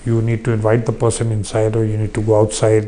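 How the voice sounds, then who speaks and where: A man speaks with an Indian accent. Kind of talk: interview. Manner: halting.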